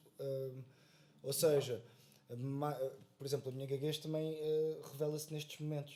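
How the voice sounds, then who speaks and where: The man speaks at a fairly quick pace. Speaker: actor. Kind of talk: casual podcast conversation. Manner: halting, many filler sounds.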